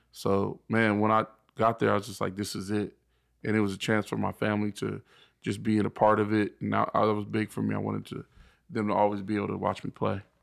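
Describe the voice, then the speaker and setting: A man speaks very fast with an American accent. The recording is very clean, with a silent background. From Inland Empire, Southern California. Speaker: former football linebacker. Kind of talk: casual chat.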